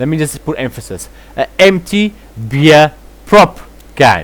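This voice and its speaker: A man with a South African accent at a very slow pace. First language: Afrikaans. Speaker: commentary vlogger. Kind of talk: reaction commentary.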